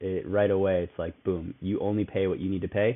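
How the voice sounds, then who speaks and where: This man has a plain, everyday voice with a fairly low pitch. He talks at a fairly quick pace. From St. Louis, Missouri. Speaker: fintech startup co-founder. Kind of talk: interview.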